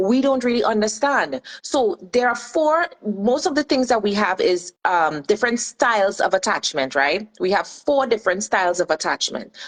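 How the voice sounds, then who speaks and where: With a Trinidadian accent, a woman talks in a fairly high pitch with very wide pitch swings, and the sound is dry and close with no echo. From Trinidad and Tobago. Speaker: life and relationship coach. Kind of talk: radio show interview.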